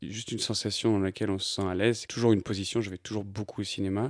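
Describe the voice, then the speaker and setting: Very fast and fairly low in pitch, a man talks on a very clean recording with a silent background. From France, Annecy (Haute-Savoie). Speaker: photographer. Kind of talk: interview. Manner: hesitant, many fillers.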